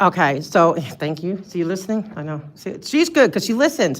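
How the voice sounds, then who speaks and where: At a fairly quick pace, a woman with an East Coast US accent speaks in a fairly low pitch. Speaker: public commenter at city meeting. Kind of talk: public comment. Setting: city council meeting. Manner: loud; halting.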